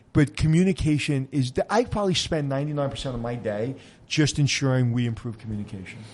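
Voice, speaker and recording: A man with a New York accent talks very fast in a medium pitch. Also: ordinary pitch variation. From Brooklyn, New York. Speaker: podcast host, hotel expert. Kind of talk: casual interview chat.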